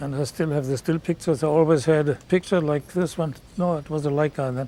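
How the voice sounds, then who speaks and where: A man speaks with a German accent. His pitch is fairly high. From Germany. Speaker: war veteran. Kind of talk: interview.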